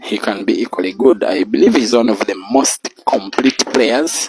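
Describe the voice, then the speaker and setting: Soft-spoken, a man comes across in a dry, close sound with no echo. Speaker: pool commentator. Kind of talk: live commentary. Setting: bar venue at live pool match. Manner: slow.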